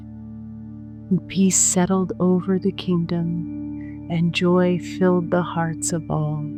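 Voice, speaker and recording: A woman's voice over background music. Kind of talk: sleep story. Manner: soft-spoken, slow.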